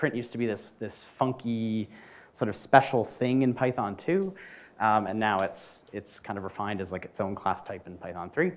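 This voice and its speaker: A normal speaking voice from a man with a Canadian accent, medium pitch and moderate pace, on a very clean recording with a silent background. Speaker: software developer, conference speaker. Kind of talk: tech meetup talk. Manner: casual, many fillers and restarts.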